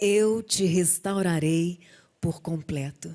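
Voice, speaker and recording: This woman has a dark, mellow tone, a somewhat breathy quality, and ordinary pitch variation. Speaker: singer giving a faith testimony. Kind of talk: testimony on TV talk show.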